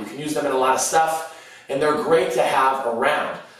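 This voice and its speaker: Strong room echo and noticeable background noise surround a man as he speaks. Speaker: fitness food vlogger. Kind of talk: casual vlog chat. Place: kitchen.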